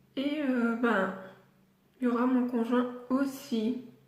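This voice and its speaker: A woman speaks in a high voice with monotone, flat intonation. Audible room echo surrounds her. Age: 20s. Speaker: pet vlogger. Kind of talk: casual vlog. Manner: hesitant, many fillers.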